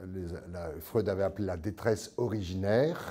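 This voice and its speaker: Against a very clean, silent background, a man with an unremarkable speaking voice talks at a moderate pace with ordinary pitch variation. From France. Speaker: priest and psychoanalyst, author. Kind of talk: lecture.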